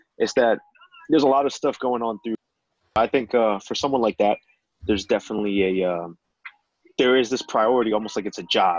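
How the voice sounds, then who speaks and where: A man with an American accent talks at a fairly quick pace with ordinary pitch variation. The sound is dry with no echo, and the background is quiet. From North New Jersey. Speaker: photographer; podcast guest. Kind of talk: casual chat. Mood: relaxed, reflective. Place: home room. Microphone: video call.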